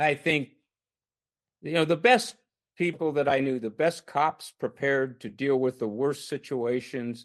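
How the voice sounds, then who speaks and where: In a quiet background, a man with a fairly high pitch speaks at a fairly slow pace. He has an ordinary speaking voice with ordinary pitch variation. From Canada. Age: 60s. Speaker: retired army officer and police chief. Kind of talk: podcast interview.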